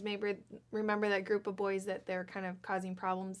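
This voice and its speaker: A woman at medium pitch and a moderate pace. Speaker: children's show co-host. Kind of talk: storytelling for children. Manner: soft-spoken.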